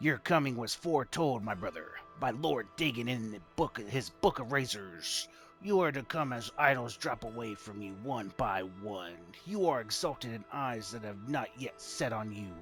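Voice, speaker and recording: With clear music in the background, a man speaks at a medium pitch and a moderate pace. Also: lively intonation. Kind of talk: dramatic scripture reading. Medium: solo performance. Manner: halting, stumbles over words.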